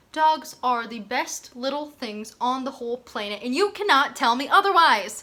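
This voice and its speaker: A woman's high-pitched, raised and projected voice at a moderate pace, with very wide pitch swings. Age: 20s. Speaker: vlogger and theater performer. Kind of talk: casual chat. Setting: outdoors. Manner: animated.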